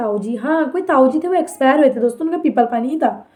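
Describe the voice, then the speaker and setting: A woman speaks loudly at a high pitch with ordinary pitch variation. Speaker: vlogger. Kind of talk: personal storytelling to viewers. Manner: sharp, loud-sounding delivery; animated.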